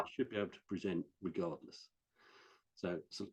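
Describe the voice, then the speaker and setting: In a Norfolk accent, the speaker talks fairly quickly with fairly even intonation and a dark, mellow tone. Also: man. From West Norfolk, England. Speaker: IT training specialist. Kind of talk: interview answer. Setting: online video call.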